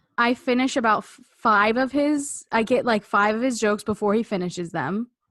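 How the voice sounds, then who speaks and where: In a dry, close sound with no echo, a woman with an unremarkable speaking voice talks at a moderate pace, fairly high in pitch with ordinary pitch variation. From Canada. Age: 20s. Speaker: podcast co-host. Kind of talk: casual chat.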